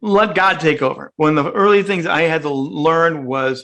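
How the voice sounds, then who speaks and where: A man talks with a bright, sharp tone at a fairly high pitch, his pitch varying in an ordinary way. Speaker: radio broadcaster and media coach. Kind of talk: interview.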